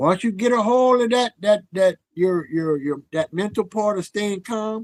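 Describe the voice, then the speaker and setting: A man's high voice at a fairly slow pace, dry and close with no echo. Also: ordinary pitch variation. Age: 60s. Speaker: wellness advocate. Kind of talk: casual interview. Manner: repetitive, halting.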